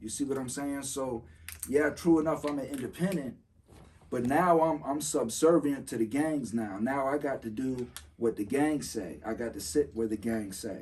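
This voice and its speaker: A man talks at a moderate pace, his medium pitch varying in an ordinary way. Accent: American. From Florida. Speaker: former federal prisoner. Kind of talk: casual podcast chat.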